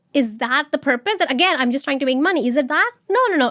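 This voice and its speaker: Loud and high-pitched, a woman speaks with lively intonation in a dry, close sound with no echo. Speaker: start-up founder. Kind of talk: interview.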